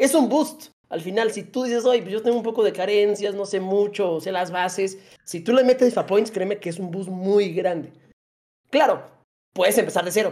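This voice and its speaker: A man with a Mexican accent talks at a moderate pace in a high pitch, his tone dark and mellow, with ordinary pitch variation. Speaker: gaming content creator. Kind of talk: casual chat.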